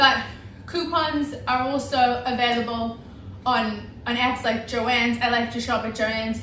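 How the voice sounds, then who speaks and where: A woman with a New Zealand accent speaks at a high pitch over noticeable background noise. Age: 20s. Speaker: homemaker. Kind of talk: casual talk to camera.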